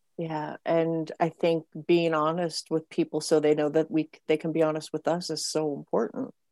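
Over a silent background on a very clean recording, a woman with an American accent speaks at a moderate pace with hardly any pauses, her very deep, low pitch carrying a dark, mellow tone. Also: fairly even intonation, dry, close sound with no echo. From Montana. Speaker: podcast host. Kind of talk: interview.

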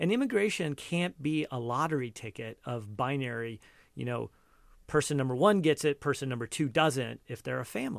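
Against a quiet background, a man with an American accent uses an ordinary speaking voice at medium pitch and a moderate pace, with lively intonation. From Cupertino, California. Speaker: entrepreneur. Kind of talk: interview.

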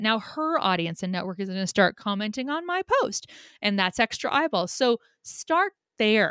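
In a very clean recording with a silent background and a dry, close sound with no echo, a woman with an ordinary speaking voice talks at a moderate pace with a fairly high pitch and lively intonation. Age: 40s. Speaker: social media marketer. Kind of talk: casual interview.

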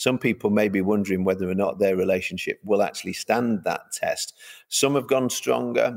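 This voice has a Mancunian accent, vocal fry and lively intonation. It moves at a moderate pace, and its loudness stays very even. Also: man, fairly low pitch for a man. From Manchester, England. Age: 50s. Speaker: pastor. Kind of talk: interview. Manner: halting.

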